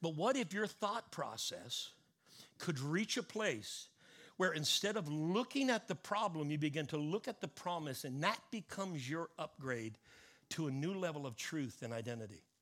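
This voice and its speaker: On a very clean recording with a silent background, a man with a fairly high pitch moves at a moderate pace through very wide pitch swings. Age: 50s. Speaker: pastor. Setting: church service with live congregation. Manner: earnest, fervent and intimate, urging the room to respond aloud; conversational and halting, repeating words and filling with um.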